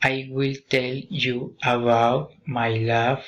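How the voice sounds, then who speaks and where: At a medium pitch, a man speaks in a monotone, flat intonation. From Colombia. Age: 30s. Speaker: language student. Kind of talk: student speaking assignment. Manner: halting.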